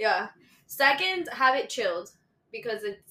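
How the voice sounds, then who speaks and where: In a Spanish accent, a woman talks at a moderate pace with lively intonation. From Bogota, Colombia, raised Miami. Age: 20s. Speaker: guest. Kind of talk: casual chat.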